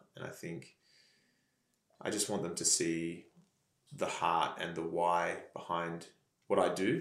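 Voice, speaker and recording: The speaker has an Australian accent and a fairly slow pace, with long, frequent pauses. Audible room echo surrounds the voice. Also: man. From Australia, country Victoria. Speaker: pastor. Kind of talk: casual chat.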